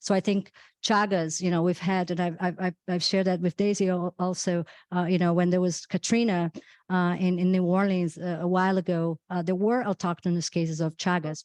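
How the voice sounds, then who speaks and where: A woman with a Brazilian accent speaks fairly quickly in a fairly low pitch, her intonation flat and monotone and her loudness very even. The sound is dry and close with no echo, against a quiet background. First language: Portuguese. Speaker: physician. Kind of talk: panel discussion. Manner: halting, many repetitions.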